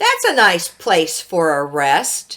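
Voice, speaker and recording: A woman uses a put-on character voice with lively intonation. Her pitch sits fairly low. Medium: read story. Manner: calls out his wares.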